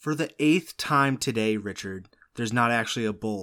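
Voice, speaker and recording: Speaking at a fairly quick pace, a man with a plain, everyday voice and medium pitch is heard in a very clean recording with a silent background. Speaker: podcast host. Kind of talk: casual comedic banter.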